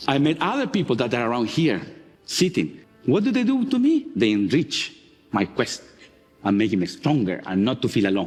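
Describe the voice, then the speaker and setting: A man with a strong non-native accent at very even loudness, music in the background. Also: moderate pace. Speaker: marine geologist. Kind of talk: conference talk.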